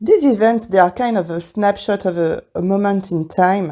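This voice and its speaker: With a strong French accent, a woman speaks in a medium pitch and a dark, mellow tone, her intonation fairly even. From France. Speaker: wedding podcaster. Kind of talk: casual podcast monologue. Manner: hesitant, many fillers.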